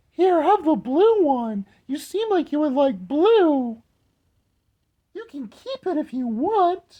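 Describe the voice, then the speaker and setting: A man speaks in a put-on character voice at an extremely high pitch. His pace is fairly slow. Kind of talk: affected, cheery. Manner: fake, overly sweet.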